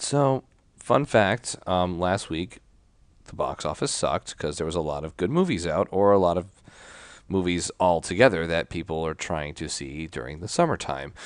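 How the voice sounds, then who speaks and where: A soft-spoken man talks at a moderate pace in a very deep, low pitch with lively intonation. His loudness swings widely over a quiet background. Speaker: podcast co-host. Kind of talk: casual chat. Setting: remote recording from home. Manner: quiet, soft.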